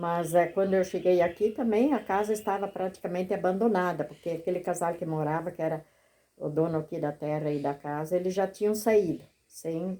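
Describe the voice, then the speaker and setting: Her voice fairly low in pitch with ordinary variation, a woman speaks in a dark, mellow tone. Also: moderate pace. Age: 70s. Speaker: retired teacher and farmer. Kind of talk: interview. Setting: at her rural home.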